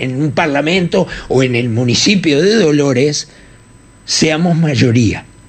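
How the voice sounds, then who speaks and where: There is noticeable background noise as a man talks at a very slow pace. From Uruguay. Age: 70s. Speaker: radio journalist and political party founder. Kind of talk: radio interview.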